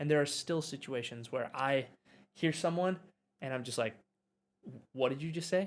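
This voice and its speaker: Speaking at a moderate pace, a man uses ordinary pitch variation and long, frequent pauses. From US Midwest, Wisconsin. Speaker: language teacher. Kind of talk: live stream chat. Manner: normal conversational pace.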